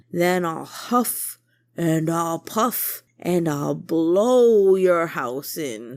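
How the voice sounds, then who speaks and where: Shouting in a put-on character voice, a woman speaks at a very slow pace with a fairly low pitch on a very clean recording with a silent background. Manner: shouting, blustering.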